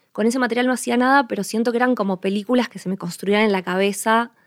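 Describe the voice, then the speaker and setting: This woman has an Argentine accent and a medium pitch, with fairly even intonation. The recording is very clean, with a silent background. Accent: Rioplatense Argentine Spanish. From Argentina, Buenos Aires province coast. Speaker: film director and producer. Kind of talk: casual interview conversation.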